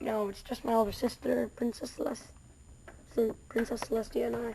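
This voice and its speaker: A woman's raspy, put-on character voice, fairly high in pitch, at a moderate pace over clear background noise. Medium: read story. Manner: formal, regal.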